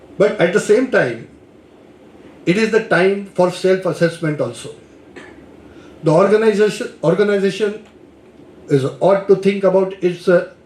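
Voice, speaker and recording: A man with a high pitch speaks at a moderate pace in a room with audible echo, keeping his loudness very even, with ordinary pitch variation and long, frequent pauses. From India, Maharashtra. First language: Marathi. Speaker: lecturer. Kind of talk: lecture. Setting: lecture hall with audience. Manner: hesitant, with fillers.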